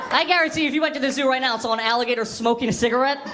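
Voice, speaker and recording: Over noticeable background noise and audible room echo, a man talks very fast in a raised, projected voice with ordinary pitch variation. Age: 20s. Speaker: stand-up comedian. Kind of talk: stand-up. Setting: stage with audience.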